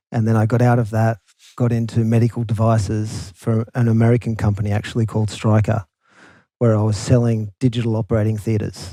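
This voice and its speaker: A man with an Australian accent speaks at a fairly quick pace, medium in pitch, with a dark, mellow tone. His intonation is monotone and flat, and his loudness is very even. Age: 40s. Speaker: company founder and CEO. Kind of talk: casual interview chat.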